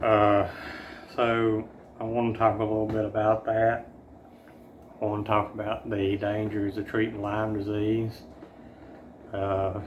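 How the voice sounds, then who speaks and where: A man talks at a fairly slow pace with long, frequent pauses, in a fairly low pitch. His intonation is monotone and flat, and the room echo is audible. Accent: Southern US. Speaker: chronic illness vlogger. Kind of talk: personal update vlog. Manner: halting, many fillers.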